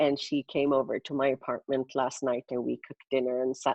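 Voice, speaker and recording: A woman speaks at a moderate pace in a very deep, low voice with fairly even intonation. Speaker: singer and actress. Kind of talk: casual chat.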